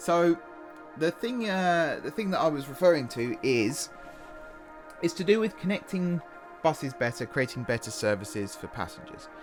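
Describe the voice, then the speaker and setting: With music in the background, a man with an English accent speaks with very wide pitch swings and long, frequent pauses. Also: fairly high pitch for a man, moderate pace. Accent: regional English, dropped H's and T's. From Hertfordshire, England. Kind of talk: casual, conversational.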